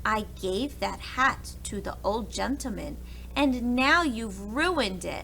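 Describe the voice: A woman's put-on character voice, fairly high in pitch, slow and full of vocal fry, with lively intonation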